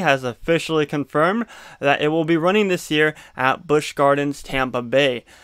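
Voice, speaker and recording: A man talks with a quiet background behind him. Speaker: theme park YouTuber. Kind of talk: casual vlog chat. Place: home room. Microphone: studio mic.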